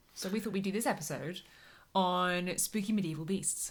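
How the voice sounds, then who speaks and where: A woman with an ordinary speaking voice, a fairly low pitch and ordinary pitch variation, on a very clean recording with a silent background. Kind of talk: podcast conversation.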